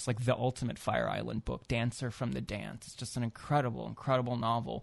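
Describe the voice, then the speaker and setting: A man with an American accent talks at a fairly quick pace and medium pitch. He has a plain, everyday voice. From US Midwest. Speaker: author. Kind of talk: radio interview. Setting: studio.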